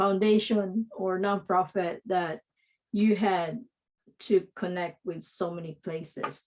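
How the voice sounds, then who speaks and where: A woman's intonation stays fairly even as she moves along at a very slow pace. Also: medium pitch for a woman. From Philippines. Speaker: podcast host, digital marketing coach. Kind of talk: interview.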